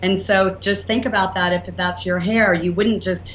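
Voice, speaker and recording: A woman speaks at a moderate pace amid audible room echo and noticeable background noise. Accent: Southern US. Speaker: inventor and entrepreneur. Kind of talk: interview. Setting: podcast. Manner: animated.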